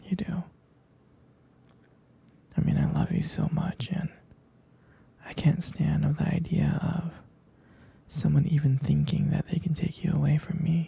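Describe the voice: A man's whispering put-on character voice with a husky, rough edge and vocal fry, at a fairly slow pace with long, frequent pauses.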